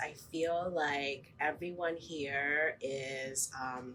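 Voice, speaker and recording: A woman talks over noticeable background noise. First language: Spanish. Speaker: teacher. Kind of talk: interview. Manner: hesitant, with frequent ums.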